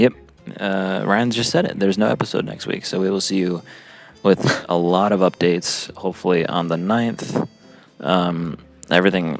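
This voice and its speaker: Speech at a moderate pace with ordinary pitch variation over noticeable background noise. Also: man. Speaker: podcast host and musician. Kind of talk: casual chat. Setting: airport.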